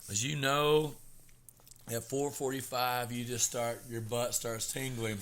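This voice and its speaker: The speaker has a Southern US accent. The pace is fairly slow and the intonation fairly even. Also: man, medium pitch for a man. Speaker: podcast co-host, hairdresser. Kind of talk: casual chat.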